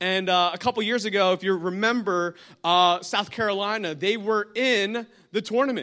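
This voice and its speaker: A man with an American accent speaks in a raised, projected voice, his high pitch and bright, sharp tone carrying an animated delivery over a very clean recording with a silent background. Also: moderate pace. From New Jersey. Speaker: guest pastor. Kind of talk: sermon. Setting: church with congregation.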